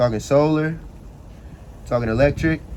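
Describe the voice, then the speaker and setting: With audible room echo around him, a man talks in an animated tone at a medium pitch and a moderate pace. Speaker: finance YouTuber. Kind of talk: casual explainer tutorial. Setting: outdoors. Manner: casual, animated.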